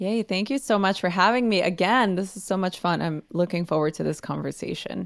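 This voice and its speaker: On a very clean recording with a silent background, a woman with an American accent and vocal fry talks at a fairly quick pace with hardly any pauses. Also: medium pitch for a woman, ordinary pitch variation. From Los Angeles, US; Mexican American family. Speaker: podcast guest giving wellbeing advice. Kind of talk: casual advice conversation.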